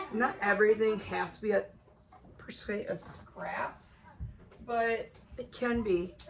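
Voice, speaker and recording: Against noticeable background noise, a fairly high-pitched woman speaks very slowly in a flat monotone, with long, frequent pauses and big swings in loudness. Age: 30s. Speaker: sewing channel host. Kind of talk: tutorial. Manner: casual, with many fillers.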